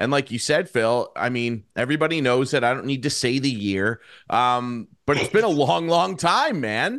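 A man has a plain, everyday voice at medium pitch, with lively intonation and a moderate pace. He leaves hardly any pauses, and the recording is very clean with a silent background. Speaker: podcast host. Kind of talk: casual chat.

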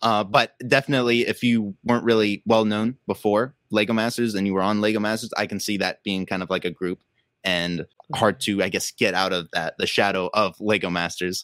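In a normal speaking voice at a fairly quick pace, the speaker keeps a fairly even intonation, recorded dry and close with no echo, very clean, against a silent background. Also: man, fairly low pitch for a man. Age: 20s. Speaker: Lego builder and content creator. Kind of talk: casual chat. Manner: fast.

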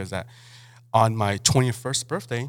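A man's medium-pitched voice with ordinary pitch variation, in a very clean recording with a silent background. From Mexico (Mexicali). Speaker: chef and restaurant owner. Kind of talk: casual interview.

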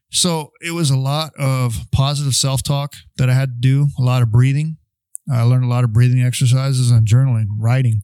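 With a dark, mellow tone, a man speaks at a fairly quick pace. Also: medium pitch for a man, fairly even intonation. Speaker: podcast co-host, Navy veteran. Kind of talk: casual podcast conversation about mental health. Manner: talks loudly without meaning to.

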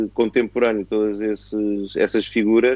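Speaking at a moderate pace, a man has a dark, mellow tone, a fairly low pitch, and monotone, flat intonation. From Portugal (born in Angola, moved 1974). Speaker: retired racing driver. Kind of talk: casual interview chat.

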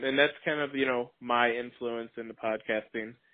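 Speaking with an American accent, a man holds a medium pitch. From Racine, Wisconsin. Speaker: podcast co-host. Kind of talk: casual chat.

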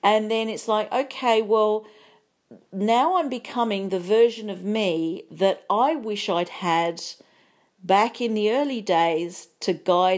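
A woman talks with lively intonation at medium pitch in an ordinary speaking voice. The recording is very clean, with a silent background. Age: 50s. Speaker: podcast host, psychologist and business coach. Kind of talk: solo podcast monologue.

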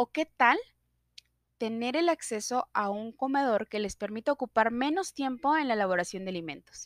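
Recorded very cleanly against a silent background, the sound is dry and close with no echo, and a woman uses a normal speaking voice at a fairly high pitch. Her intonation is lively and her pace moderate. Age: 30s. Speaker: student. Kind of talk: sales pitch. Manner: formal.

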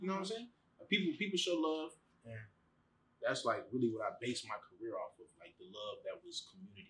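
A man with an American accent at a very fast pace, with big swings in loudness. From Chicago. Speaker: rapper and music producer. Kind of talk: casual chat.

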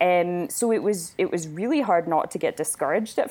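Pitch variation stays ordinary throughout. The woman's voice sits fairly low. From Winnipeg, Canada. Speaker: wedding photographer. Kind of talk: casual interview.

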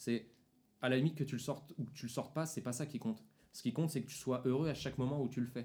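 Speaking at a very fast pace, a man has a medium pitch and fairly even intonation. His tone is dark, mellow and somewhat breathy. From Paris region (Seine-Saint-Denis). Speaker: podcast host. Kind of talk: casual chat. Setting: at a table with friends.

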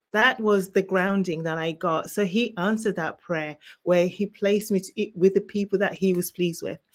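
A woman with an English accent talks with hardly any pauses. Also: medium pitch for a woman, fairly even intonation, moderate pace. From England, born in Zimbabwe. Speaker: author and minister. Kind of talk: testimony. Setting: remote call from vacation.

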